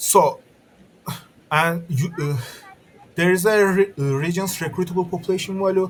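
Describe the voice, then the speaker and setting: A man with a non-native accent and a high pitch, fairly even intonation, a moderate pace and long, frequent pauses, over noticeable background noise. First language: not English. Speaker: game modder. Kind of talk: tutorial. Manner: halting, stuttering.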